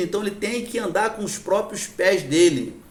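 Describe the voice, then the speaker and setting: Against noticeable background noise and audible room echo, a man speaks at a high pitch and a moderate pace. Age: 60s. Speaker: addiction recovery support group leader. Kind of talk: lecture. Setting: church. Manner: halting.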